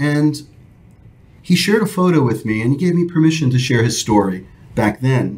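A somewhat breathy man's voice, fairly high in pitch, with lively intonation at a moderate pace. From New York. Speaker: retired airline captain; podcast guest. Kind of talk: interview. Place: studio. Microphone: studio mic.

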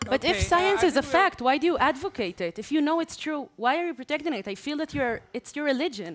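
Speaking very fast with hardly any pauses, a woman uses a high pitch that swings very widely. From Israel. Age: young. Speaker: social entrepreneur; speaker. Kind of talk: panel debate. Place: hall. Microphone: podium.

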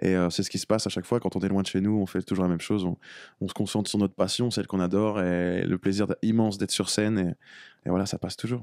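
In a dry sound with no echo and a quiet background, a man with a fairly low voice speaks at a very fast pace in a monotone with flat intonation. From France. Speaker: reggae singer; guest. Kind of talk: radio interview. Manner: halting, repeats words. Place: studio. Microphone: studio mic.

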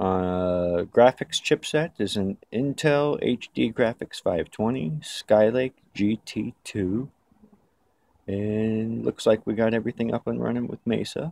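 A man talks at a very slow pace, and the sound is dry with no echo. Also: ordinary pitch variation. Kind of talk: tutorial. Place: garden.

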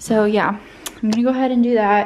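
At a moderate pace, a woman speaks with fairly even intonation. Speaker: home vlogger. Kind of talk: casual vlog chat. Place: home room. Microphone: phone near.

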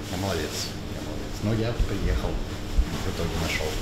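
Loud background noise runs behind a man's speech. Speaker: vlogger guest. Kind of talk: casual vlog chat. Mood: amused, self-mocking. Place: cafe.

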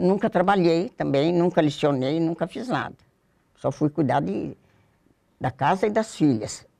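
Against a quiet background, a woman with a fairly low pitch and vocal fry speaks in a dark, mellow tone with lively intonation. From Brazil, São Paulo state (Jundiaí); São Paulo state, Brazil. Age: old. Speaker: retired former student sharing memories. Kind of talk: oral history interview. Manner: halting, with repetitions. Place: studio. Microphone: lapel.

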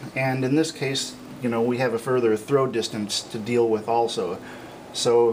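Noticeable background noise runs through the clip. A man's voice comes through over it. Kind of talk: technical walkthrough to camera.

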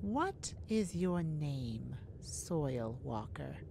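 In a put-on character voice, a woman speaks very slowly with a low pitch, vocal fry and big pitch swings.

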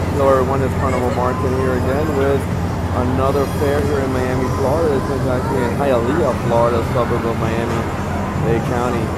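Over loud background noise, a man talks at a fairly quick pace with ordinary pitch variation in a dry sound with no echo. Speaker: carnival enthusiast vlogger. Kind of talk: walking tour commentary. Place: market. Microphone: phone near.

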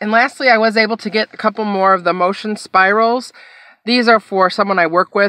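Against a quiet background, a woman with a bright, sharp tone talks at a fairly quick pace, the sound dry with no echo. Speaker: haul vlogger. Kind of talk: casual vlog chat. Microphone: phone near.

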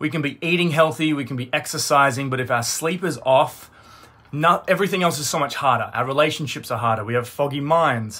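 Ordinary pitch variation colors the man's fairly quick delivery. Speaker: wellness coach. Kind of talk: motivational talk to live audience. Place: home room. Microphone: phone near.

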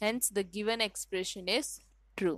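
With an Indian accent and fairly even intonation, the voice comes through a very clean recording with a silent background and a dry, close sound with no echo. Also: woman. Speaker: maths teacher. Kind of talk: tutorial.

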